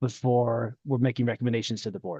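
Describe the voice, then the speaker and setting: A man's medium-pitched, dark, mellow tone at a very fast pace, with a dry, close sound with no echo. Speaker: committee member. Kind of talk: public meeting discussion.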